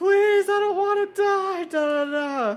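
This is a put-on character voice with an extremely high pitch. The pace is fairly slow. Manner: mocking, pleading.

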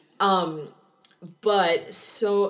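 The recording of a woman with an American accent has audible room echo. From Seattle, US Pacific Northwest. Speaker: true crime podcast co-host. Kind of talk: casual chat.

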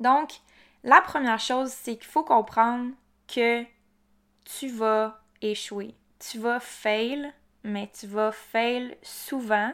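A woman with a Quebec accent and fairly high pitch, very slow pace with long, frequent pauses, fairly even intonation, in a very clean recording with a silent background. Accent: Québécois French. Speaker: entrepreneur podcaster. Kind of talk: casual solo monologue. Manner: chatty with frequent fillers.

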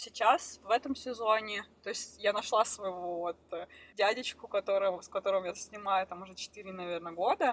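A woman uses an ordinary speaking voice at a moderate pace with ordinary pitch variation and big swings in loudness, recorded dry and close with no echo. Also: medium pitch for a woman. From Russia, Krasnoyarsk. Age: 20s. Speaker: professional snowboarder. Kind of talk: interview.

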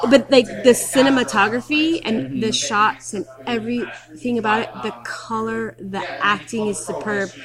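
A woman with a fairly high voice talks at a fairly slow pace, with lively intonation. Her loudness swings widely, and there is noticeable background noise. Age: 40s. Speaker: film festival programming director. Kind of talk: interview. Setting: film festival venue.

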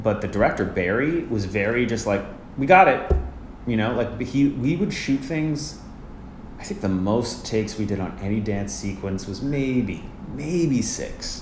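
A man with a Canadian Prairies accent speaks at a fairly slow pace, medium pitch and lively intonation. Audible room echo and noticeable background noise come through. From Canada, Winnipeg. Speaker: Broadway ensemble dancer and actor. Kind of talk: casual interview.

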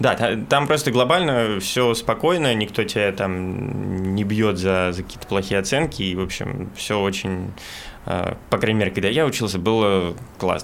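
Against noticeable background noise, a man with a fairly low pitch speaks at a moderate pace with ordinary pitch variation. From Moscow, Russia. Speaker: documentary cameraman and journalist. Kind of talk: casual chat.

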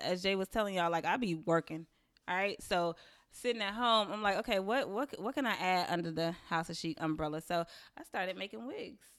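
This woman speaks with a North Carolina accent at a medium pitch and a fairly quick pace, her intonation lively. The recording is very clean, with a silent background. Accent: Southern US, North Carolina. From Waxhaw, North Carolina. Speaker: hair salon owner. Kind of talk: casual chat.

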